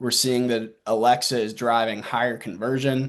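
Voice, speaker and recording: A man with a Southern US accent, monotone and flat in intonation, at a moderate pace against a quiet background. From US South. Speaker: marketing executive presenting at a webinar. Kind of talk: webinar presentation. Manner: casual, with frequent fillers.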